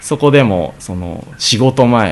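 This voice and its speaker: Against noticeable background noise, a man speaks with very wide pitch swings. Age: 20s. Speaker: Brazilian jiu-jitsu fighter and gym owner. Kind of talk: radio interview. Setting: radio studio.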